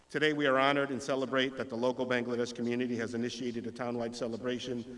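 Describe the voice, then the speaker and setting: Over audible room echo, a man at medium pitch talks very fast in a flat, monotone delivery. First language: Spanish. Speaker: state legislator. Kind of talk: public speech; reading aloud. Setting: stage with audience. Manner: hesitant, with fillers.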